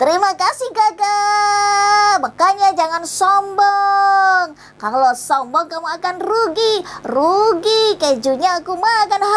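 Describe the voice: At an extremely high pitch, a woman does a put-on character voice at a fairly slow pace over clear background noise.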